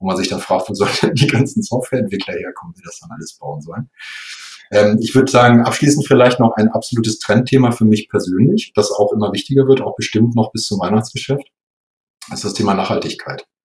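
Talking at a very fast pace, a man with a medium pitch shows ordinary pitch variation and big swings in loudness. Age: 50s. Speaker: software company executive. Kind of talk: interview.

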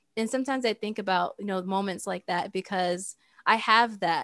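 A woman with an American accent speaks at a fairly quick pace and medium pitch, in an ordinary speaking voice. The recording is very clean, with a silent background. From US and Saudi Arabia. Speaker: tech entrepreneur. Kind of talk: casual interview chat.

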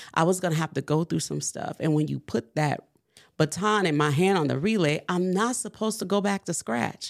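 A woman with a fairly low pitch and vocal fry talks at a fairly quick pace with lively intonation, in a very clean recording with a silent background. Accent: New Orleans. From New Orleans. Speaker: entrepreneur and baker. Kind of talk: testimony.

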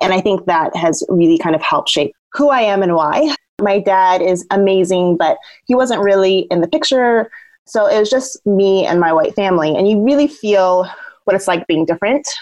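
A woman with a normal speaking voice, medium pitch and lively intonation, at a moderate pace and very even loudness. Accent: American. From Southern Oregon, US. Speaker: peacebuilding communications professional. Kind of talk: interview.

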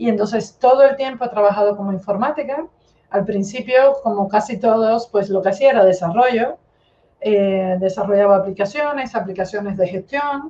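Her pace is moderate and her pitch fairly high for a woman. She has a plain, everyday voice with ordinary pitch variation. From Cuba. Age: 50s. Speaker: data analytics expert. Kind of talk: interview.

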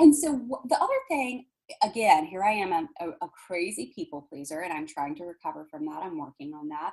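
Talking at a fairly quick pace, a woman with an American accent uses lively intonation and big swings in loudness. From US South. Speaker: intuitive healer and palm reader. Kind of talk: casual interview chat.

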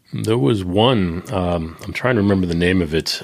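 In a Boston accent, a man speaks with a very deep, low pitch and ordinary pitch variation. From US Northeast, Boston. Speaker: podcaster, security professional. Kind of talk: casual chat. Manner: dry, understated.

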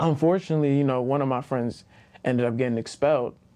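A man's plain, everyday voice with an American accent, medium in pitch, with ordinary pitch variation. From Baltimore, Maryland, US. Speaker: attorney. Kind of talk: casual interview.

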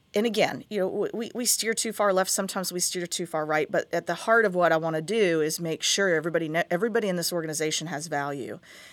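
An ordinary speaking voice from a woman with an American accent, fairly low in pitch with ordinary pitch variation, on a very clean recording with a silent background. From West Virginia, Huntington. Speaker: TV station executive. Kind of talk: interview.

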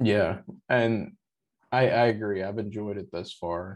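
A man with an American accent speaks at a fairly low pitch. His intonation is fairly even, and the background is quiet. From US South. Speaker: guest. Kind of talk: casual chat. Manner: rambling, filler words.

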